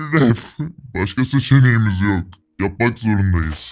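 In a put-on character voice, a man talks at a fairly low pitch. His pace is fairly slow and his pitch varies in an ordinary way. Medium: machinima. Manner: gentle, accepting.

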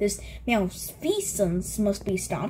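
A woman's put-on character voice at a fairly slow pace, with clear background noise. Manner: heroic, grandiose.

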